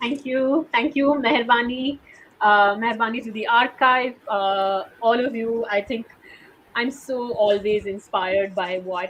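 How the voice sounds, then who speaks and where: In a Sindhi accent, a woman speaks at a fairly high pitch with ordinary pitch variation. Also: fairly slow pace. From India, Sindhi family. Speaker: oral history interviewer and writer. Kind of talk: interview.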